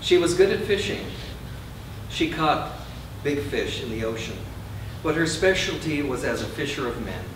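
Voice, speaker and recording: Noticeable background noise and audible room echo surround the recording. A man talks at a moderate pace. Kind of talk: public reading. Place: shop. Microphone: camera far.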